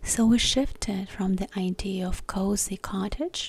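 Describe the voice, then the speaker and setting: A soft-spoken whisper at a very slow pace. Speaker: ASMR creator. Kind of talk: ASMR soft-spoken magazine talk. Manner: soft-spoken, whispered, slow.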